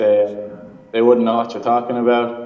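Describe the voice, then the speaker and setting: A man with an Irish accent speaks at a medium pitch, with audible room echo. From Ireland. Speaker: remote interview guest. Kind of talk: interview answer. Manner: hesitant, casual. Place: office. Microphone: video call.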